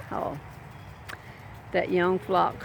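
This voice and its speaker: A woman at a very slow pace, in a monotone, flat intonation. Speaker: gardening vlogger. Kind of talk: casual vlog. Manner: rambling, casual with fillers.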